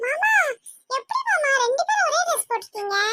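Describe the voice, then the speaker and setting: A woman does a squeaky, cartoonish character voice at an extremely high pitch and a moderate pace. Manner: lively, chatty.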